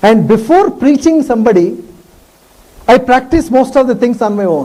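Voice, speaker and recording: A man's extremely high voice in a South Indian accent, moderately paced, with lively intonation. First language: Tamil. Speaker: professor. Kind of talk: lecture.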